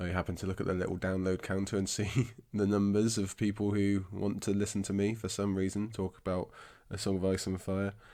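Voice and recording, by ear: A raspy man with a fairly low pitch, speaking at a moderate pace.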